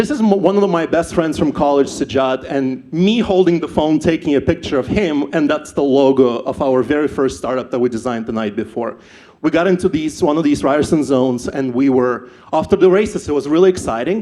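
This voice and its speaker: Speaking at a fairly quick pace with lively intonation, a man with a Ukrainian accent has a fairly high pitch and a dark, mellow tone. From Ukraine. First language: not English (English is third language). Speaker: startup founder, event speaker. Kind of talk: personal story talk at live event. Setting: stage with audience.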